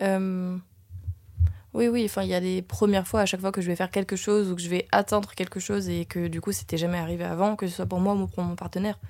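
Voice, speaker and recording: A woman speaks very fast on a very clean recording with a silent background. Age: 20s. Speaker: actress and dancer. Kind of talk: casual chat.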